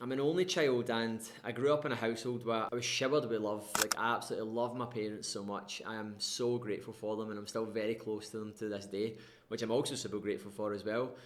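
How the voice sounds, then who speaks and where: A man with a Scottish accent talks at a very fast pace, his intonation fairly even. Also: medium pitch for a man. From Scotland, West Coast (Irvine, North Ayrshire). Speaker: life coach, former RAF serviceman. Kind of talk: personal storytelling monologue. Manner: casual, conversational.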